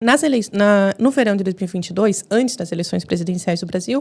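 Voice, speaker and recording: A woman with a Brazilian accent, very fast and lively in intonation, dark and mellow in tone, in a very clean recording over a silent background. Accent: Brazilian Portuguese, kept. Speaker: journalist and TV commentator. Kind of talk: podcast interview.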